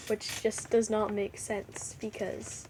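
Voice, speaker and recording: A woman talks at a fairly slow pace with noticeable background noise. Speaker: hamster care reviewer. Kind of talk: casual talk to camera.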